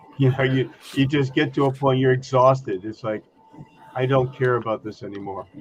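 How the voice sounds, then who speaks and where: Over noticeable background noise, a man speaks at a fairly quick pace and medium pitch with fairly even intonation. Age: 70s. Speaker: scale model hobbyist on livestream panel. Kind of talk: casual chat.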